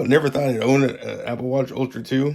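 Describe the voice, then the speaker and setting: A man's voice at medium pitch, talking at a very fast pace. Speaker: vlogger. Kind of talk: casual vlog talk to camera. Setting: at home, late at night.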